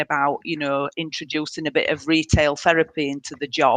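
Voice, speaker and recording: A woman with a northern English accent has a very deep, low pitch, recorded with a dry, close sound and no echo. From northern England, Leeds. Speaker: council waste services manager. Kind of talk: webinar presentation. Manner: hesitant, many fillers.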